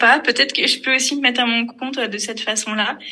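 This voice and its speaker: A woman's fairly even intonation amid noticeable background noise. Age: 20s. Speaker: financial management consultant. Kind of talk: casual interview chat.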